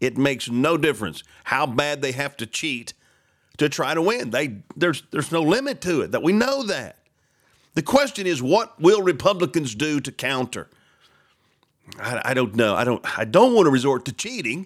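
With a very clean recording and a silent background, a man speaks in a fairly high pitch with very wide pitch swings. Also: moderate pace. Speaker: talk radio host. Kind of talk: casual talk show monologue. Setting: studio. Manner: halting, repeats words.

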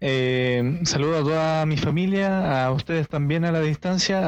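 A man speaks with a Chilean accent in a fairly high voice with ordinary pitch variation. Noticeable background noise is present. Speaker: podcast co-host. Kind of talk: casual chat.

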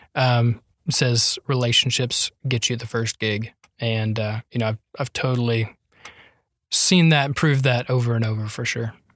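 A man's somewhat breathy voice comes through dry and close with no echo, in a very clean recording with a silent background. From North Carolina. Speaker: blogger and writer. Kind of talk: casual chat.

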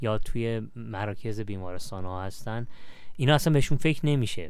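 The intonation is lively. The pace is very fast. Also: man. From Iran, Shiraz. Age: 30s. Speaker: charity manager. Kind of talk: casual interview.

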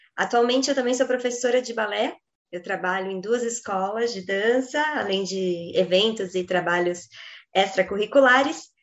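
A woman with a normal speaking voice, medium pitch, moderate pace and ordinary pitch variation. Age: 20s. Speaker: ballet dancer and journalist. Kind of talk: interview.

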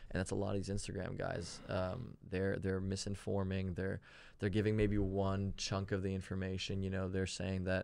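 The man's pitch sits very deep and low. He keeps to a moderate pace. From Germany. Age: 20s. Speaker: personal trainer. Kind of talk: casual chat. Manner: animated.

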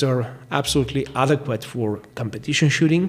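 Moving at a moderate pace, a man with a Bulgarian accent speaks at a fairly high pitch. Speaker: firearms instructor. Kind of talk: interview.

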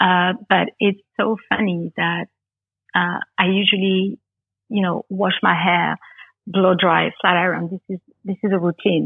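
In a Parisian accent, a woman speaks at a fairly slow pace with a medium pitch and monotone, flat intonation. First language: French. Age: 30s. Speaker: makeup artist. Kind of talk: casual chat.

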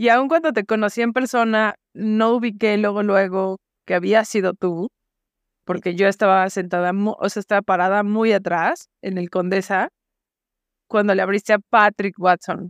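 A woman with a Mexican accent speaks at a medium pitch and a fairly slow pace, her intonation fairly even. The sound is dry and close with no echo, over a quiet background. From Mexico, Guadalajara. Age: 40s. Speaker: podcast host. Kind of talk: casual interview chat.

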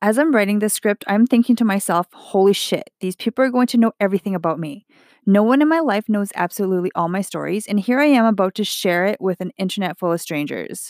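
A woman's medium-pitched voice with a Canadian accent and lively intonation, very fast with hardly any pauses, in a dry, close sound with no echo. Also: very clean recording, silent background. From Edmonton, Alberta, Canada. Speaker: podcast host. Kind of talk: scripted monologue.

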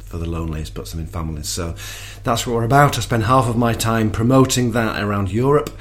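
A man with a northern English accent at a very fast pace, medium pitch and lively intonation, with audible room echo and noticeable background noise. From northern England. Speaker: charity worker. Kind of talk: interview testimony. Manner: halting.

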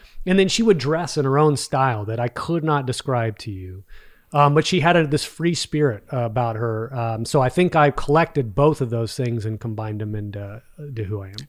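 A man's medium-pitched voice with a slight Texan accent, fairly quick pace and big swings in loudness, on a very clean recording with a silent background. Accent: Texas accent, slight. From Texas. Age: 40s. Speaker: business executive and podcaster. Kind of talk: casual interview chat.

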